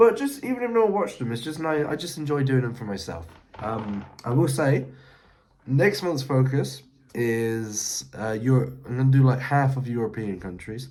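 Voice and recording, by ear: A man speaks with lively intonation and a slightly mellow tone. Strong room echo surrounds his voice.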